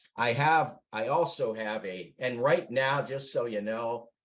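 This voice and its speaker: An unremarkable speaking voice from a man at medium pitch and a fairly slow pace. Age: 60s. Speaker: author. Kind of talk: interview.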